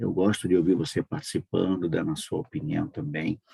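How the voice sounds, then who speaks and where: A man's very deep, low voice with a dark, mellow tone comes at a moderate pace, dry and close with no echo. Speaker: online prayer meeting host. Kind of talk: casual religious chat.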